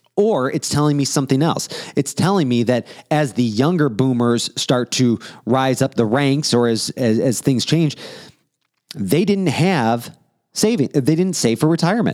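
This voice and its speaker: With a plain, everyday voice, a man speaks at a moderate pace and medium pitch, with lively intonation and very even loudness, on a very clean recording with a silent background. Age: 30s. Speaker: podcast host. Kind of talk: casual chat.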